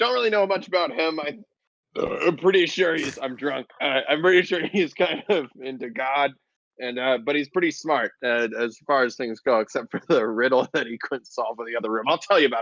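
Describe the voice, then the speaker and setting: In a put-on character voice, a man sounds raspy and fairly high-pitched, using lively intonation at a moderate pace, with a dry, close sound and no echo. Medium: actual play. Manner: folksy, chatty.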